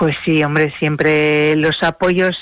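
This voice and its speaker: A woman with a very deep, low pitch and fairly even intonation at a very slow pace, with noticeable background noise. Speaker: rural entrepreneur. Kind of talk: radio interview.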